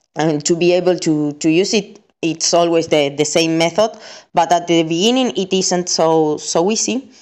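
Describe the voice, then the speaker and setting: A woman speaks with an Argentine accent. Her pitch sits fairly low, and the background is quiet. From Argentina. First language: Spanish. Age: 30s. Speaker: content creator. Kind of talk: recorded testimony. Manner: halting, many fillers and repetitions.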